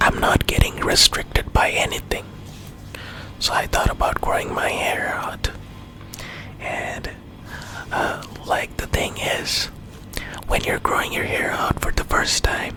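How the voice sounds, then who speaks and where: Someone whispers in a gentle tone at a fairly slow pace, with long, frequent pauses. Noticeable background noise sits behind the voice. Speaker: ASMR creator. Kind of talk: storytime ramble to camera. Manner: whispered, gentle.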